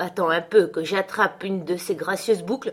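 Lively intonation in an unforced reading voice

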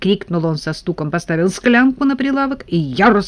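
Lively intonation over plain reading aloud

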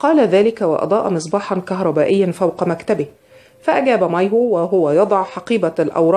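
The voice is reading aloud in a natural voice. Its pitch varies in an ordinary way.

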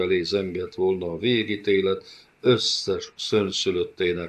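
This clip features a natural reading voice.

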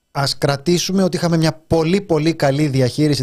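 Fairly even intonation in a male speaker's somewhat breathy voice. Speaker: radio host. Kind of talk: casual chat.

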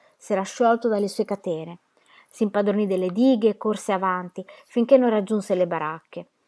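With only a quiet background behind it, an unforced reading voice is heard.

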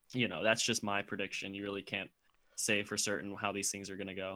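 This man's voice sits fairly low, with a bright, sharp tone and a fairly quick pace broken by long, frequent pauses. The recording is very clean with a silent background. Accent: American. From US South, Georgia. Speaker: podcast co-host. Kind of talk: casual chat.

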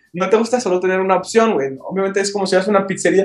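This man talks at a very fast pace. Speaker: podcast co-host. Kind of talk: casual chat. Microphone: connection keeps cutting out.

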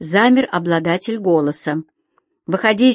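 An unforced reading voice with lively intonation against a quiet background.

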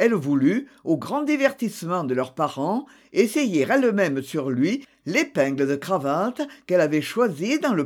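Just an unforced reading voice

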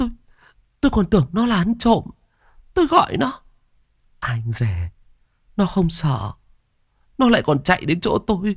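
Putting on a character voice with a high pitch and a slightly husky edge, a man swings his pitch very widely at a moderate pace, leaving long, frequent pauses, on a very clean recording with a silent background.

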